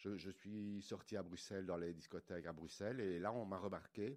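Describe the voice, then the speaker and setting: At a moderate pace, a man with a very deep, low voice speaks in fairly even intonation. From Belgium, Liège (Wallonia). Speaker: milliner. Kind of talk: interview. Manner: halting, repeats words.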